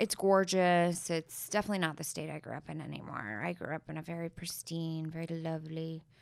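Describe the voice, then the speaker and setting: Speaking with an American accent, a woman uses an unremarkable speaking voice at a fairly low pitch, moving at a fairly quick pace with fairly even intonation and hardly any pauses. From Colorado (Denver). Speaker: podcast host. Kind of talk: casual chat.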